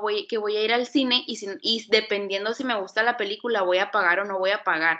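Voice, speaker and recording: A woman's fairly high voice, bright and sharp in tone, with ordinary pitch variation over a quiet background. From Mexico, Hermosillo, Sonora. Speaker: recent graphic design graduate. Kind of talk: casual interview.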